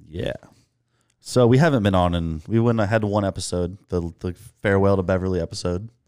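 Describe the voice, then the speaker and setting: A man's fairly low voice at a fairly quick pace, with ordinary pitch variation. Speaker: podcast co-host and shop owner. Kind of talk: casual chat. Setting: studio. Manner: loud.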